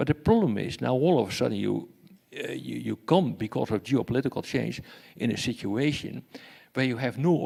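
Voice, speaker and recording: A man speaks with a Dutch accent in a very clean recording with a silent background. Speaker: security expert and professor. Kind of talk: lecture. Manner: halting, many fillers and repetitions.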